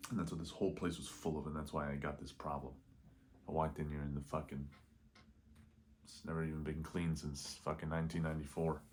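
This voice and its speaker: A man with a very deep, low pitch speaks at a very fast pace in a monotone, flat intonation, with long, frequent pauses. Room echo is audible. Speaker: vlogger. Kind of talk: casual vlog monologue. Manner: quiet, held back so roommates next door won't hear; rambling, halting, loses train of thought.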